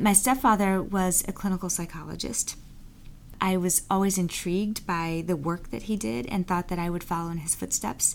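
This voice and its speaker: A woman speaks at a moderate pace with a medium pitch and ordinary pitch variation. It is a plain, everyday voice. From US, born in Bermuda. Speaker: business school dean. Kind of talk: interview.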